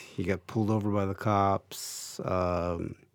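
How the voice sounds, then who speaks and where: A man speaks with an American accent. His pitch is fairly low and his intonation fairly even. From Mexican American. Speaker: TV interview host. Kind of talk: interview.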